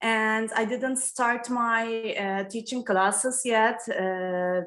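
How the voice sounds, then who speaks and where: At a very slow pace, a woman with a Turkish accent speaks in a fairly high voice with fairly even intonation. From Turkey, Istanbul. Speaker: yoga student. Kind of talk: self-introduction in online class. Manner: halting.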